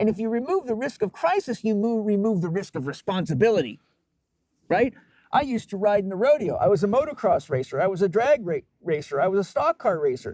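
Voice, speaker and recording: A man speaks very fast in an animated tone, his high voice swinging very widely in pitch. The sound is dry and close, with no echo. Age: 50s. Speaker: holistic health expert. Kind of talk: podcast interview.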